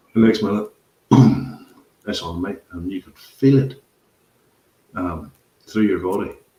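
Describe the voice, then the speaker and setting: A man with a Northern Irish accent, his dark, mellow voice fairly low and somewhat breathy, at a fairly slow pace with long, frequent pauses and big swings in loudness. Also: ordinary pitch variation. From Northern Ireland. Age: 50s. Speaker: podcast host. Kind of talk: casual chat.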